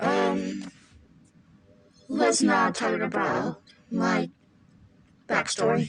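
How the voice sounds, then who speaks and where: In a raspy put-on character voice with a low pitch, the speaker goes at a very slow pace with long, frequent pauses. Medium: solo performance. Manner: guarded, evasive.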